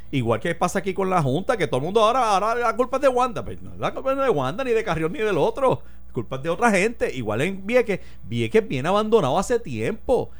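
With a Puerto Rican accent, a man talks very fast at a high pitch, his voice making very wide pitch swings. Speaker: radio talk show host. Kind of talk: casual political discussion.

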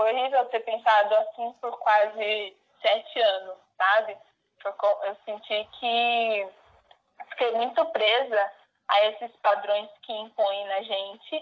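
At a very slow pace, a woman speaks with a fairly high pitch and fairly even intonation. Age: 20s. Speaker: recent business graduate. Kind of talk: interview.

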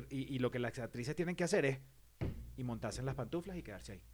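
Talking at a very fast pace, a man shows vocal fry and ordinary pitch variation. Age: 40s. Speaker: podcast co-host. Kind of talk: casual chat.

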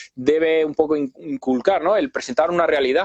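A man with a fairly high pitch and a plain, everyday voice is heard in a dry, close sound with no echo. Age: 30s. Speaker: drummer and YouTuber. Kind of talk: casual interview chat. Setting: online live video call.

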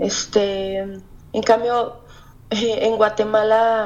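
A woman talks in a flat monotone, her voice fairly high. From Mexico, Hidalgo. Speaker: novelist. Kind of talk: interview. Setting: phone call.

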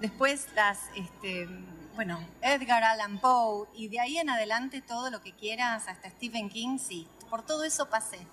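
A woman speaks at a fairly high pitch with a Rioplatense accent. Her pace is fairly slow, with ordinary pitch variation and big swings in loudness. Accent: Argentine Spanish (rioplatense). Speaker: author. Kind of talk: interview.

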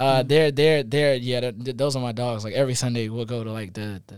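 With an American accent, a man speaks at a medium pitch in a normal speaking voice. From Columbia, South Carolina. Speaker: college student musician. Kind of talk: casual interview. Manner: casual, filler-heavy.

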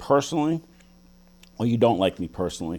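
A man with a New York accent speaks at medium pitch in a dark, mellow tone. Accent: New York City. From the Bronx, New York City. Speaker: politician and businessman. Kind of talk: political debate.

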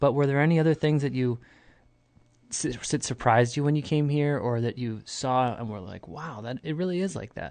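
This man has an American accent and a fairly high pitch, with a normal speaking voice. His pitch varies in an ordinary way, he talks at a fairly quick pace, and the background is quiet. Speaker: podcast host. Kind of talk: casual interview. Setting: studio.

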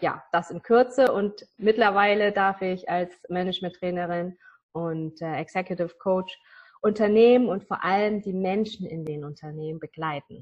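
In an ordinary speaking voice, a woman talks at a moderate pace and medium pitch with ordinary pitch variation and big swings in loudness. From northern Germany. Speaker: business coach. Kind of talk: interview.

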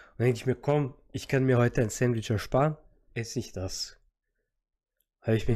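A man speaks with an Austrian accent in a dark, mellow tone. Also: very clean recording, silent background. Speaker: podcast co-host. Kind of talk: casual chat.

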